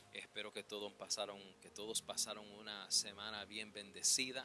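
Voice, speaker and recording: Over music in the background, a man with a fairly low pitch speaks at a moderate pace with fairly even intonation. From New York City, the Bronx. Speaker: preacher. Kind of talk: sermon. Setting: church. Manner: halting, many fillers.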